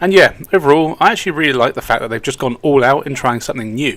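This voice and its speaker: He speaks with an English accent. The man's pace is very fast. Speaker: video game reviewer. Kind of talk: scripted narration.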